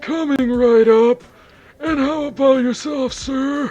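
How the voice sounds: Faint music plays in the background as a put-on character voice speaks at a fairly slow pace with fairly even intonation. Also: woman, high pitch for a woman.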